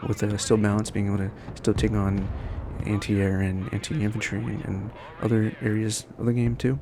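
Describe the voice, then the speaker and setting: The words come at a fairly quick clip. Behind them, the noise is noticeable. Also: man. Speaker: gaming YouTuber. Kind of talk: gameplay commentary. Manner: fast; casual, with fillers and restarts.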